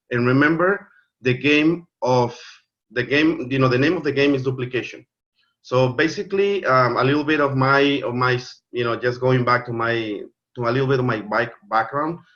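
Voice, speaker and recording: A man with a Spanish accent, medium pitch, ordinary pitch variation and a moderate pace. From Mexico. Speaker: network marketing leader. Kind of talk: online training presentation. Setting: video call. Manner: halting, many fillers and repeats.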